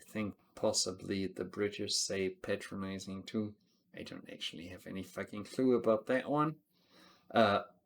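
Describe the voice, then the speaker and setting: With a non-native accent, a man talks at a moderate pace, his fairly low pitch showing ordinary variation. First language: not English. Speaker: TV show reviewer. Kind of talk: casual review monologue. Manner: animated.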